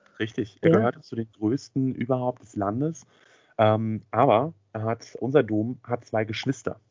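A man's ordinary speaking voice at a fairly slow pace, medium in pitch, with fairly even intonation and big swings in loudness. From Schwerin, northern Germany. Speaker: podcast co-host. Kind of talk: casual chat.

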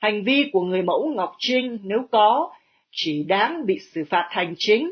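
This woman has an unremarkable speaking voice at a fairly high pitch. She speaks fairly slowly with lively intonation. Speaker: newsreader. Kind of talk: news reading.

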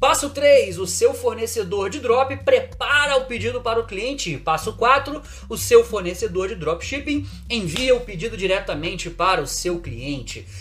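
A man with a Rio de Janeiro accent, animated in tone, at a fairly slow pace with big swings in loudness and noticeable background noise. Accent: Carioca Brazilian Portuguese. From Brazil, Rio de Janeiro. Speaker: online marketing creator. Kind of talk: casual video monologue; reading from a script.

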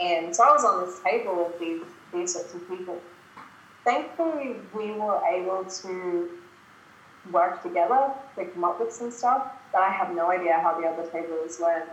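With an Australian accent, a woman speaks at a moderate pace in a medium-pitched voice with ordinary pitch variation and big swings in loudness, amid audible room echo. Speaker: productivity coach. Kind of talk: casual interview chat. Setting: video call. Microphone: poor audio on her end.

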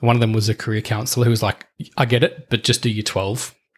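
A man with an Australian accent, medium pitch, a very fast pace, a somewhat breathy quality and fairly even intonation. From Australia, eastern suburbs of Melbourne. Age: 40s. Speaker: former police officer turned corporate leader. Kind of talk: casual interview chat. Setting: in person at host's house. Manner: halting, many repetitions.

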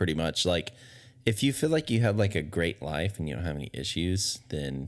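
A man's very fast speech with lively intonation and vocal fry. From Texas. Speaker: podcast co-host. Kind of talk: casual chat. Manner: hesitant, many fillers.

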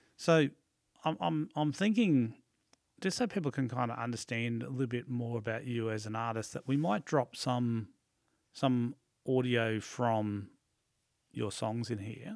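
Over a silent background in a very clean recording, a man with an Australian accent and medium pitch talks at a fairly slow pace, with ordinary pitch variation and long, frequent pauses. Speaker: podcast host. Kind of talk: interview. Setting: studio.

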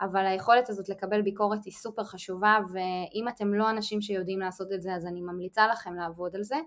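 A woman with a plain, everyday voice talks at a fairly quick pace and medium pitch. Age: 30s. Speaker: podcast co-host, instructional designer. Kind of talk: casual interview answers.

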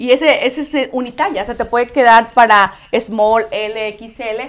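A woman talks in a normal speaking voice, pitched fairly high, with fairly even intonation. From Mexico, Nayarit. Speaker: clothing designer and seller. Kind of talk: product presentation. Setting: live stream.

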